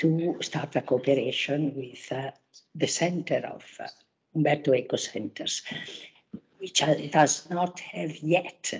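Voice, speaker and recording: Somewhat breathy and very deep in pitch, a woman speaks at a fairly slow pace with lively intonation. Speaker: conference chair, academic. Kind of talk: conference opening remarks. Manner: halting.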